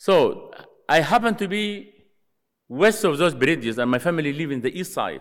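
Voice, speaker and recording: At a moderate pace, a high-pitched man talks with lively intonation. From Sudan. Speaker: missionary. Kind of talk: chapel talk. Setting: stage with audience.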